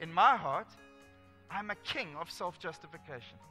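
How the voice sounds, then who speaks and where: Raised, projected male voice with faint music in the background. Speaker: pastor or speaker. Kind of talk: sermon. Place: stage.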